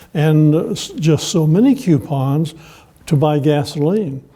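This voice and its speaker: A man with a fairly high voice and ordinary pitch movement speaks against noticeable background noise. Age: 80s+. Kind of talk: interview.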